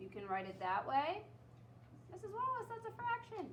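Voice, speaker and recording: A woman talks at a fairly quick pace. There is audible room echo and noticeable background noise. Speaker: math teacher. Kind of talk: classroom lesson.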